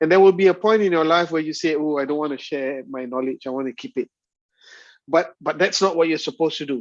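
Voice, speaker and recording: Over a quiet background, a man with a Malaysian accent talks at a very fast pace and a fairly high pitch, with ordinary pitch variation and a dry, close sound with no echo. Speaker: university lecturer. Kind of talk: lecture. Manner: halting.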